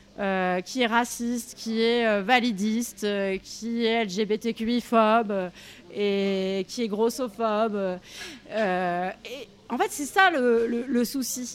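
The pace of this woman's speech is very slow. Her fairly high pitch shows ordinary variation. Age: 40s. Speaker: feminist activist and co-author. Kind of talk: interview. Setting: café. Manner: halting.

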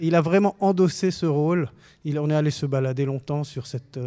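A dark, mellow tone with ordinary pitch variation at a moderate pace, on a very clean recording with a silent background. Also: man. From Lebanon. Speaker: film director. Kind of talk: radio interview.

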